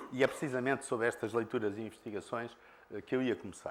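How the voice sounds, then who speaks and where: The speaker is a man. He has a Lisbon accent. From Portugal, Lisbon. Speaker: conference speaker, former engineer. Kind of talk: conference presentation. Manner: halting, many filler sounds.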